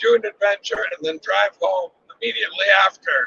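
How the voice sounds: A man's bright, sharp tone with a slightly husky edge and vocal fry, at a moderate pace, in a dry, close sound with no echo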